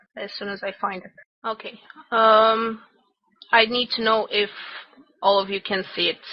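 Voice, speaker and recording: Fairly high in pitch, a woman speaks with a non-native accent and fairly even intonation. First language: not English. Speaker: game class instructor. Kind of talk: online class lecture. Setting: voice chat server. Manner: halting, many fillers.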